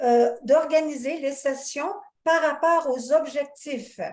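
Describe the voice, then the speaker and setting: A woman with a high pitch speaks at a very slow pace. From Canada. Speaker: course facilitator. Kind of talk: online lecture.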